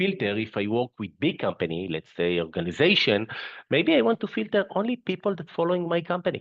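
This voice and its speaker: A man speaks with very wide pitch swings. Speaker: company CEO, webinar presenter. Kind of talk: webinar presentation. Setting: online webinar. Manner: halting, with fillers and repetitions.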